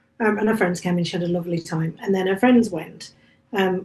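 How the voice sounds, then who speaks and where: Speaking with a West Midlands accent, the woman uses ordinary pitch variation. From English Midlands, Staffordshire. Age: 50s. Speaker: author and bookshop cafe owner. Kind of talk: casual chat.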